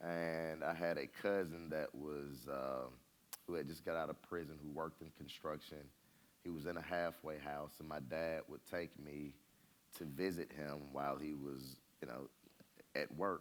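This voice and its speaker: A man with an Atlanta accent, very deep and low in pitch, at a moderate pace with fairly even intonation. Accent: Southern US (Atlanta). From Atlanta, Georgia (US South). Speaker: real estate company president. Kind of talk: interview on stage. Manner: halting.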